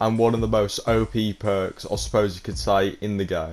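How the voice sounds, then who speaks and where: A man's fairly low-pitched voice over background music. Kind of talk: gaming tips talk to camera. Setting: low-quality home mic. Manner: casual.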